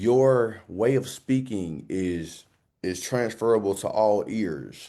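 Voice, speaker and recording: With a Southern US accent, a man speaks very slowly at a fairly low pitch, his dark, mellow tone carrying lively intonation over a quiet background. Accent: Southern US, thick drawl. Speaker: motivational speaker. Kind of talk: interview. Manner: energetic.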